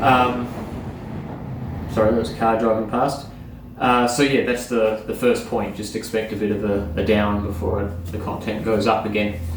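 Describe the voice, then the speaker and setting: A man with an Australian accent speaks at a fairly low pitch with fairly even intonation. Noticeable background noise and audible room echo surround his voice. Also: moderate pace. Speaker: surfboard repair YouTuber. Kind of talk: casual vlog update. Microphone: no microphone, poor audio.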